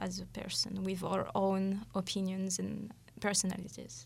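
A woman speaks at a fairly slow pace with a French accent. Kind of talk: casual chat. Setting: studio.

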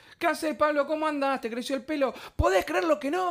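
At a very fast pace, a man talks in an extremely high pitch. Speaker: podcast co-host, poet. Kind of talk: casual chat. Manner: animated.

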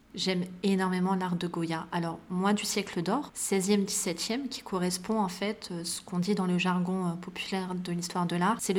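In a medium-pitched voice, a woman speaks at a moderate pace with monotone, flat intonation. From Paris suburbs (Val-de-Marne), born in Morocco. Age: 30s. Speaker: art historian and curator. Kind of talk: interview conversation.

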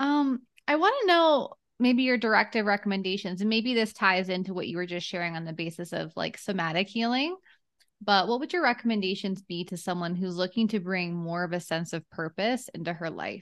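Lively intonation runs through this fairly quick speech. The background is quiet. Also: woman, medium pitch for a woman. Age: 30s. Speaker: podcast host and business coach. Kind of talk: interview conversation. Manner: animated.

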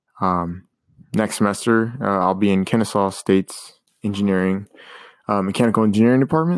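Using an ordinary speaking voice with an American accent, a man talks at a fairly quick pace and fairly low pitch, his intonation fairly even and the sound dry and close with no echo. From Colombia, then Kansas City, Missouri. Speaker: podcast host, college student. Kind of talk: casual monologue, story time. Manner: casual with many fillers.

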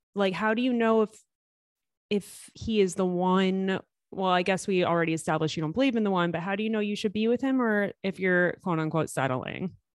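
A woman's unremarkable speaking voice, medium in pitch with ordinary pitch variation, at a fairly quick pace. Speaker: podcast host. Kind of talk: casual interview.

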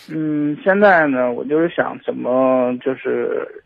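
A man talks at a fairly slow pace. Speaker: caller seeking marriage advice. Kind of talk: phone-in confession. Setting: phone call. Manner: halting, hesitant. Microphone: phone with earphones, poor sound.

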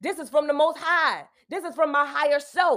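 A woman with an American accent speaks at a high pitch and a moderate pace with ordinary pitch variation, in a very clean recording with a silent background. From US South, South Carolina Lowcountry. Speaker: podcast host and self-help speaker. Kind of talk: casual monologue.

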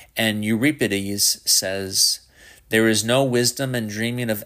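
At a fairly slow pace, a man talks in an unremarkable speaking voice with a fairly low pitch and fairly even intonation. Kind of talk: audiobook reading of a scholarly theology text. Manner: formal, measured, even-paced academic delivery.

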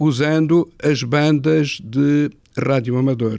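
A man's voice with ordinary pitch variation and dry, close sound without echo. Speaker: retired engineering professor. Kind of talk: interview. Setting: satellite ground station room.

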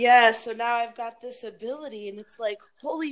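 This woman has a normal speaking voice, fairly high in pitch, with ordinary pitch variation and a moderate pace. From Wisconsin, Milwaukee. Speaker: podcast participant matched with a stranger. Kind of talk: casual chat.

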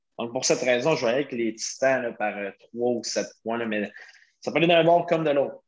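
The speaker has a Quebec accent and a moderate pace. Pitch varies in an ordinary way. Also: man. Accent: Québécois French. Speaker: podcast host. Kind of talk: casual sports chat.

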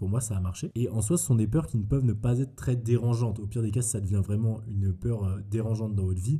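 A man's very fast, somewhat breathy speech, fairly low in pitch, dark and mellow in tone, with fairly even intonation. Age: 20s. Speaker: podcast host. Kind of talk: solo monologue podcast. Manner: casual.

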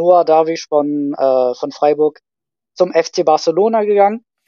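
Recorded dry and close with no echo, a man talks at a fairly slow pace with a fairly high pitch. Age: 30s. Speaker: youth football scout and teacher. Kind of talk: casual chat. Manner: hesitant, many filler sounds.

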